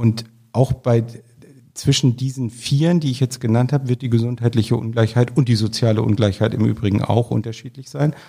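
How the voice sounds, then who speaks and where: A man speaks at medium pitch in a dark, mellow tone. His delivery is somewhat breathy, with fairly even intonation. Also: fairly quick pace. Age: 50s. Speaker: public health office director. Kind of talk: interview.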